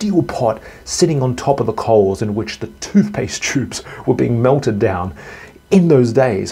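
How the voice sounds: A natural reading voice carries intonation that is lively.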